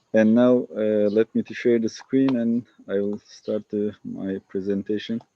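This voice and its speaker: A man with a Turkish accent speaks at a fairly low pitch. His intonation is monotone and flat, at a fairly slow pace. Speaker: family doctor and public health researcher. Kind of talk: lecture. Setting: video call from a village garden. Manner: halting.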